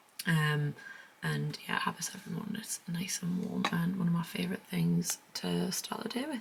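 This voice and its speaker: A woman speaks at a moderate pace while noticeable background noise carries on behind her. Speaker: lifestyle vlogger. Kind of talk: casual vlog chat. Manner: speaking quietly; hesitant, many fillers.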